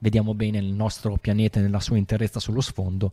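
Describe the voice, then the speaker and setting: A man speaks at a fairly quick pace in a dark, mellow tone. The recording is very clean and dry, close with no echo, over a silent background. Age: 40s. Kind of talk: casual chat. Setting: live stream.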